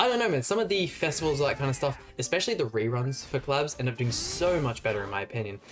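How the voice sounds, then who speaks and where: Music plays in the background as a man speaks very fast in an animated tone. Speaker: gaming YouTuber. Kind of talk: gameplay commentary. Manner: casual, animated.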